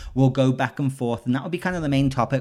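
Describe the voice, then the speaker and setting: On a very clean recording with a silent background, a man talks at a very fast pace with an English accent. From England. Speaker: podcast host. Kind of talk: casual chat.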